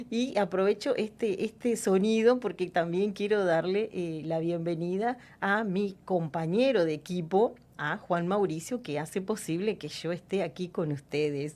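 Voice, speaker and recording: A woman with a Uruguayan accent, medium in pitch and dark and mellow in tone, at a fairly slow pace with ordinary pitch variation. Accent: Rioplatense (Uruguayan) Spanish. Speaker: radio host. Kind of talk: radio interview. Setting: radio studio.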